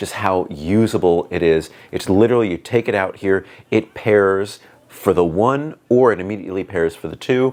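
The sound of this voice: Booming low male voice at a moderate pace, with ordinary pitch variation and few pauses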